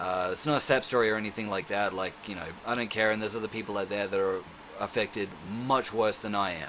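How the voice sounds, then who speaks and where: A man with an Australian accent, fairly low-pitched, at a very fast pace with fairly even intonation, over noticeable background noise. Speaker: self-defence instructor vlogger. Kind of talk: casual vlog monologue. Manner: rambling with many fillers.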